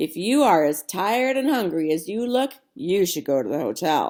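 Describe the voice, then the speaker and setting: Putting on a raspy character voice, a woman speaks at a moderate pace and medium pitch with very wide pitch swings. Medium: read story. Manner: folksy drawl.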